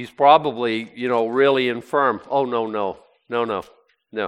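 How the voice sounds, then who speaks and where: A man speaks at a medium pitch and moderate pace. His pitch varies in an ordinary way. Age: 60s. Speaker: pastor. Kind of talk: bible study teaching. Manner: halting.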